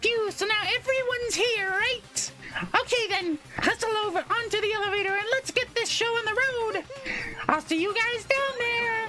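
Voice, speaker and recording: A man uses a put-on character voice at an extremely high pitch. He keeps a moderate pace over clear background noise. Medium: game stream. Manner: theatrical, teasing.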